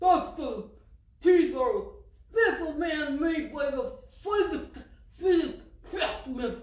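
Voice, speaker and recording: Using a put-on character voice, a woman mumbles at an extremely high pitch with lively intonation, speaking very slowly. Long, frequent pauses break up her speech, and an echo is audible. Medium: read story. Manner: mumbling, garbled speech.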